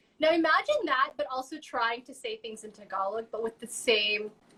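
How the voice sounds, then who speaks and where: The speaker has a Southern California accent and ordinary pitch variation, with noticeable background noise. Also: woman. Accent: valley-sounding American. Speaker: baking show host. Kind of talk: casual chat while cooking.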